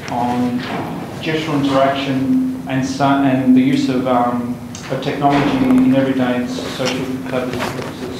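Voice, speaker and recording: The clip carries strong room echo along with noticeable background noise. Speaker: seminar host introducing speaker. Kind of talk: formal introduction. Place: classroom.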